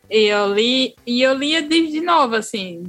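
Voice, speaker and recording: Her speech carries a northeastern Brazilian accent, and this woman uses ordinary pitch variation. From Northeast Brazil. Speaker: writer and podcaster. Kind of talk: casual chat.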